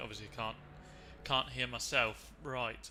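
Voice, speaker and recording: The speaker talks with a British accent at a moderate pace. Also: man. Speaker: sim racing commentator. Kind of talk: live commentary. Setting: live stream. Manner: usually shouting, gets hyped.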